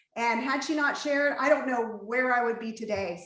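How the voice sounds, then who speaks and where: A woman speaks at a moderate pace in a high voice with ordinary pitch variation, and the room echo is audible. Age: 40s. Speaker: event host and mother. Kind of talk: hosting an online panel.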